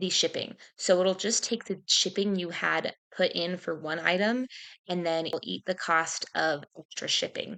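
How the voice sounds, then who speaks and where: Over a quiet background, a woman speaks at a moderate pace and medium pitch. Her voice shows vocal fry and ordinary pitch variation. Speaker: part-time online clothing reseller. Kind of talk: casual haul-style sales review. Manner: hushed, quiet.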